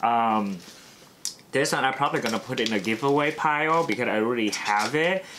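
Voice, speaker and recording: A man talks at a fairly quick pace with lively intonation and very even loudness. Noticeable background noise sits behind him. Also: medium pitch for a man. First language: not English. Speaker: beauty YouTuber. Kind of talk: unboxing product review. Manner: casual, filler-heavy.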